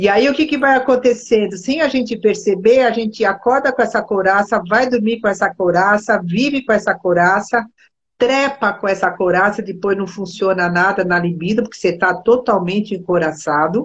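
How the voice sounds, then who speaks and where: A woman with a medium pitch and a somewhat breathy voice speaks at a moderate pace with ordinary pitch variation and hardly any pauses. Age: 60s. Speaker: body therapist. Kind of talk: casual chat. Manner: animated.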